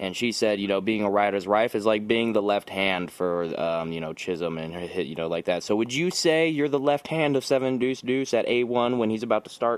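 A man with an American accent and a normal speaking voice, fairly low in pitch, at a moderate pace with lively intonation and hardly any pauses. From Las Vegas, US. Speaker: podcast host. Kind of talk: casual chat.

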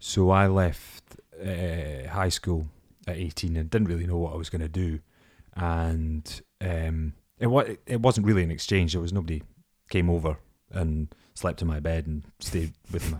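A man's very deep, low voice in a Scottish accent, with fairly even intonation, a moderate pace and a very clean recording over a silent background. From Scottish Borders. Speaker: actor. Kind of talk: casual chat.

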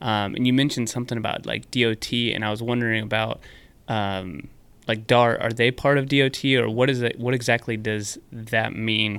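At a medium pitch and moderate speed, a man talks in a normal speaking voice, his intonation fairly even. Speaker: podcast host. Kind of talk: casual interview.

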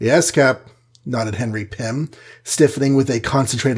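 The words are read out loud in a voice that sounds natural.

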